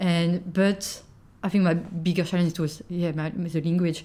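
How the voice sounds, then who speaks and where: Speaking in a French accent, a woman uses a fairly low pitch, a dark, mellow tone and a monotone, flat intonation at a fairly slow pace. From France. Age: 20s. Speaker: podcast guest, working holiday maker. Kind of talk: casual chat. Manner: halting, searching for words.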